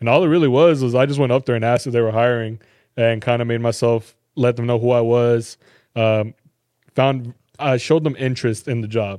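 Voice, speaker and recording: An ordinary speaking voice from a man with an American accent, medium pitch, fairly even intonation and a fairly quick pace, over a quiet background. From Texas, Garland (Dallas area). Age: 20s. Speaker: sneaker store employee and reseller. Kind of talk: casual chat.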